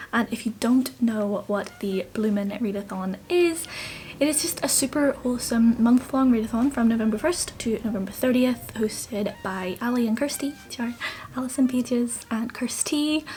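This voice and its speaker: A woman with a Northern Irish accent, fairly high in pitch, at a moderate pace with ordinary pitch variation, over noticeable background noise. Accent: mild Northern Irish. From Northern Ireland. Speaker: book vlogger. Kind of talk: casual vlog. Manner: animated.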